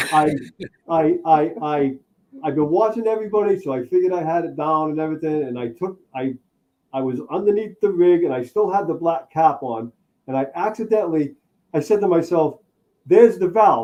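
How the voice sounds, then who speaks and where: This man has an unremarkable speaking voice with a fairly high pitch. His intonation is lively. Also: fairly quick pace. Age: 60s. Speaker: RV traveler, retired mechanic. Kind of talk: casual chat.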